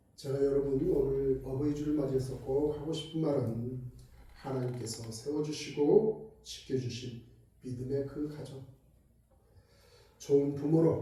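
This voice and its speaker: This man speaks at a fairly high pitch with fairly even intonation. His long, frequent pauses sit within audible room echo. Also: fairly slow pace. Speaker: pastor. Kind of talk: sermon.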